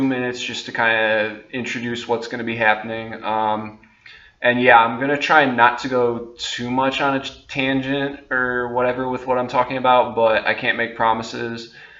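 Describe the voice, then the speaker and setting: In a room with audible echo, a man at medium pitch speaks at a moderate pace with a monotone, flat delivery and a bright, sharp tone. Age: 20s. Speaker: vlogger. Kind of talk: casual monologue to camera. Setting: talking on camera. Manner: hesitant, many fillers.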